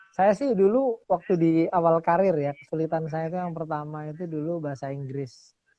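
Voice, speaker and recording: Against a quiet background, a man speaks at a moderate pace in a high pitch, his tone dark and mellow with ordinary pitch variation. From Surabaya, East Java. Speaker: lawyer and show host. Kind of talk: casual interview chat.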